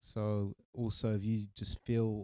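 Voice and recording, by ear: A man speaks at a fairly low pitch with a dark, mellow tone. The sound is dry and close, with no echo.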